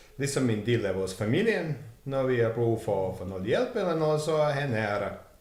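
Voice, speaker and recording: A man with a medium pitch and lively intonation speaks through noticeable background noise and audible room echo. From Montenegro. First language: Serbo-Croatian (Montenegrin) (speaking Danish). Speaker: warehouse worker. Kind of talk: casual interview.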